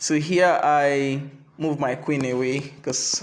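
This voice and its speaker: Over noticeable background noise and audible room echo, a man with a non-native accent talks at a fairly high pitch with fairly even intonation. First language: not English. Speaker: chess teacher. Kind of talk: game review. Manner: halting.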